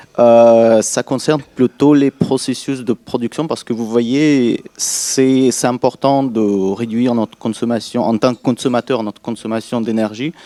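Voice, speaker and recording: In a non-native accent, a man speaks at a fairly slow pace with hardly any pauses, medium pitch and fairly even intonation, the sound dry and close without echo. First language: not French (speaking French). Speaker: audience member. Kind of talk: audience question. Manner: halting.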